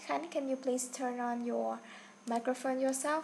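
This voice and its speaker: A woman with a Vietnamese accent speaks at a high pitch. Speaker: online English teacher. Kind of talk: online class instruction. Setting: online video class.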